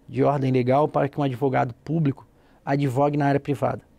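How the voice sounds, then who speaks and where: A man speaks at a very fast pace, his tone dark and mellow, with a dry, close sound and no echo. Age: 40s. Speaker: public lawyer. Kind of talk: TV interview.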